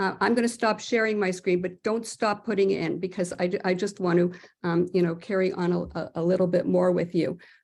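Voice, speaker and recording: A woman speaks with vocal fry. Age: 70s. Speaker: presenter on elder care. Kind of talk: webinar presentation. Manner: halting, many fillers.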